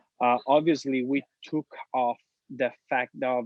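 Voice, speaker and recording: This man has an Italian accent and a medium pitch. His intonation is monotone and flat, and his pace is fairly slow. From Italy, Sicily. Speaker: entrepreneur. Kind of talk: casual interview chat.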